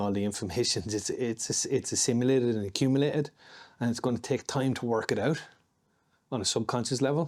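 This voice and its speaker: A man with an Irish accent talks at a fairly quick pace. His medium pitch shows ordinary variation. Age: 50s. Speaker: martial artist and security contractor. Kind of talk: casual chat.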